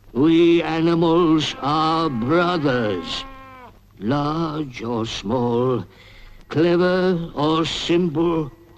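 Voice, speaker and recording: A man puts on a cartoonish character voice at a fairly high pitch. He speaks very slowly in a solemn tone. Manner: solemn, oratorical.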